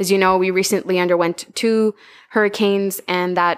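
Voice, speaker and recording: A woman with a Spanish accent speaks at medium pitch and a moderate pace with monotone, flat intonation. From Honduras, Tegucigalpa. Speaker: marine biologist and outreach coordinator. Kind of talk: interview.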